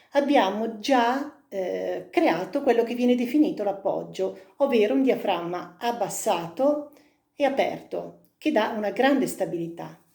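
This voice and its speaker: With a dark, mellow tone and vocal fry, a woman speaks fairly slowly at a fairly high pitch with lively intonation. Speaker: singing teacher. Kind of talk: vocal technique lesson to camera.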